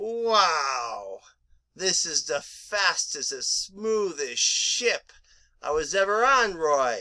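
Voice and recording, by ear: A woman does a cartoonish character voice at a medium pitch, moving at a very slow pace.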